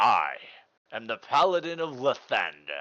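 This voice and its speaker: Speaking at a moderate pace, a man does a gruff, high-pitched put-on character voice against a quiet background. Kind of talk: mock-heroic, formal. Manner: dramatic, proud.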